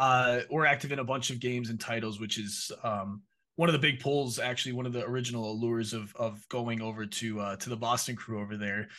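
A man's medium-pitched voice with an Upper Midwest accent, bright and sharp in tone, fairly quick, fairly even in intonation, with hardly any pauses. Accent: Upper Midwest American. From Minnesota. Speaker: esports partnerships director. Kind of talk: interview.

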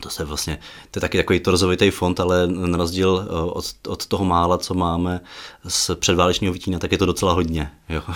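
At a fairly quick pace, a man speaks with a very deep, low pitch and monotone, flat intonation. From western Bohemia (Aš). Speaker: archive director and author. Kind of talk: interview. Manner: halting, many fillers.

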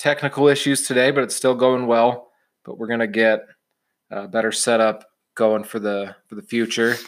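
A man with a plain, everyday voice speaks at a medium pitch and a moderate pace, with fairly even intonation but big swings in loudness. The recording is very clean, with a silent background. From Illinois (Champaign-Urbana). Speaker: sports betting podcast host. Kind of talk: casual chat.

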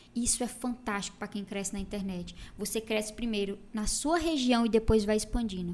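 Speaking at a fairly quick pace, a woman with a slight Ceará accent uses a fairly high pitch and ordinary pitch variation. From Brazil, Ceará (interior, Tauá). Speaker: makeup artist. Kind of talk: casual chat.

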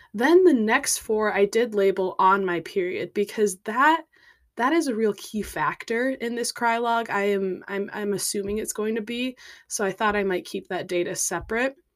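In a very clean recording with a silent background, a woman with an unremarkable speaking voice talks at a fairly high pitch with ordinary pitch variation. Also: moderate pace. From US Midwest, Minnesota. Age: 20s. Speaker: podcaster. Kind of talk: casual monologue.

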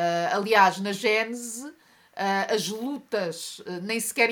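A woman with a European Portuguese accent speaks at a fairly high pitch. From Portugal. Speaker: journalist and activist. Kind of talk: interview conversation.

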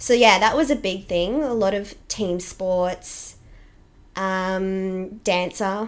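A woman with an Australian accent talks at a very slow pace, her pitch varying in an ordinary way. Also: medium pitch for a woman. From Australia, Toowoomba (Queensland). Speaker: fitness business owner, boxing coach. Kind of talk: casual interview chat.

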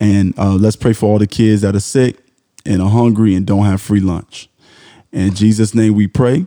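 An American-accented man speaks at a moderate pace in a fairly low pitch. His tone is dark and mellow, his intonation monotone and flat. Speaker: podcast co-host. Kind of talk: casual chat; mock prayer.

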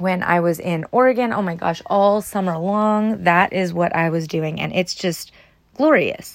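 A woman speaks at a fairly slow pace in a medium pitch. She has ordinary pitch variation and a plain, everyday voice. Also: very clean recording, silent background. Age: 30s. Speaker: lifestyle podcast host. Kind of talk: casual solo monologue. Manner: rambling, conversational with fillers.

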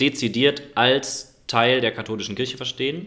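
A man's bright, sharp tone with ordinary pitch variation and a slight Cologne accent. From Germany, Cologne. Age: 20s. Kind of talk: podcast debate.

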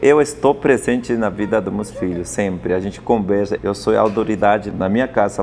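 Speaking at a moderate pace, a man with a Spanish accent talks at a fairly low pitch. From Peru, Andes (Apurímac). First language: Spanish (speaking Portuguese). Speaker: chef. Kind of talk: interview. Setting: restaurant.

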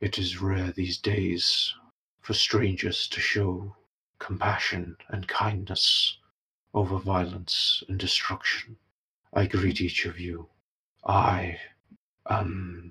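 A man puts on a character voice, very deep and low, in a solemn tone. He speaks very slowly, with long, frequent pauses. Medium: actual play. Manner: slow, formal, solemn.

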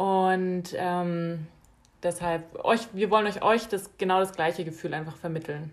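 A woman with an unremarkable speaking voice speaks at a fairly slow pace, at a medium pitch and with fairly even intonation. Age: 20s. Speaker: podcast co-host. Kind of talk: casual chat. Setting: small apartment.

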